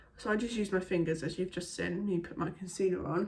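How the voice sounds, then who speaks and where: With an English accent, a woman speaks at a medium pitch. Her intonation stays fairly even. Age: 20s. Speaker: beauty vlogger. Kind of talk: casual chat.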